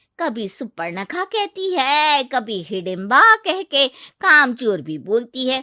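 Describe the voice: A woman uses a cartoonish character voice, high-pitched with big pitch swings and a bright, sharp tone. She goes slowly, and the sound is dry and close with no echo.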